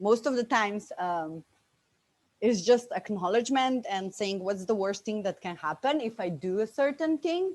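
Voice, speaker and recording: In a very clean recording with a silent background, a woman with a Bosnian accent speaks at a moderate pace, her fairly high pitch carrying lively intonation. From Slovenia, Bosnian immigrant family. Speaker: business coach. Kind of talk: interview testimony. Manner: animated.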